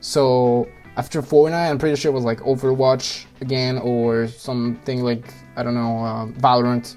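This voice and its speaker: A man talks in a flat monotone while music plays in the background. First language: French. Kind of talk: personal story.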